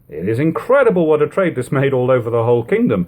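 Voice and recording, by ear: With big pitch swings, a man speaks in a slightly mellow tone.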